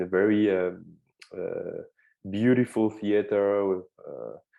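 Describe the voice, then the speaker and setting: A man with a French accent speaks in a fairly low voice. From France, suburbs of Lyon. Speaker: film director. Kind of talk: interview. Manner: halting, many fillers and repeats.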